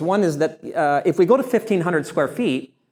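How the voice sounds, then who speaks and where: A man speaks loud and very fast, high-pitched for a man, with lively intonation. The recording is very clean, with a silent background. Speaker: surveyor and attorney. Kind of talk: lecture.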